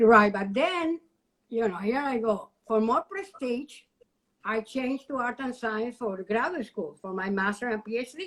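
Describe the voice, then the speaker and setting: A woman's fairly high voice with a Cuban accent, lively intonation and a moderate pace. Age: 70s. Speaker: retired educator and university alumna. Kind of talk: interview. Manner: animated.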